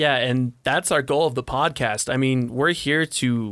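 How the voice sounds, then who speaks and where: A normal speaking voice from a man with an American accent, at medium pitch with fairly even intonation. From Montana. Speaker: college student podcast host. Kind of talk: casual chat.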